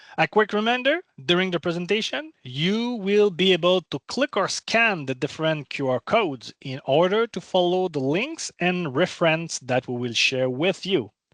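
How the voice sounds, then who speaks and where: A man with a non-native accent talks at a moderate pace, his high pitch carrying lively intonation with hardly any pauses. The sound is dry and close with no echo, over a quiet background. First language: not English. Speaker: cloud program manager. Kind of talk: webinar presentation. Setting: online webinar.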